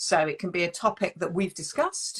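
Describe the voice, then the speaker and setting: A woman is speaking. She has a British accent. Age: 50s. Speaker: relationship coach and live show host. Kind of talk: live-stream interview. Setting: online live stream.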